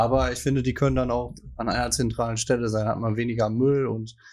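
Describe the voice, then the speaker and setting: In a very clean recording with a silent background, a man talks at a fairly quick pace in a medium pitch with monotone, flat intonation. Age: young. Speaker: podcast co-host, local politician. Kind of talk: casual chat.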